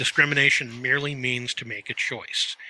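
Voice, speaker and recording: In a dry, close recording with no echo, a man speaks in a bright, sharp tone with monotone, flat intonation. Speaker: podcast co-host. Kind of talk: casual banter podcast.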